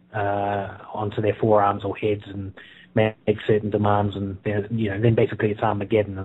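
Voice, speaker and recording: Speaking at a medium speed, a man talks in a New Zealand accent. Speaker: author. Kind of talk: interview. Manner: halting, many fillers.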